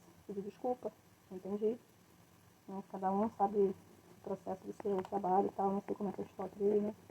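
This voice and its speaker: A soft-spoken woman at medium pitch, fairly quick yet with long, frequent pauses and monotone, flat intonation. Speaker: craft entrepreneur. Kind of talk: live stream tutorial. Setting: live stream at home. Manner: casual, rambling.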